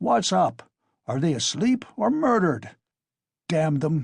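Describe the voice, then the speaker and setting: A put-on character voice shouts loudly, raspy and gruff, with very wide pitch swings. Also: man, fairly high pitch for a man, fairly slow pace, quiet background. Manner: loud, shouting.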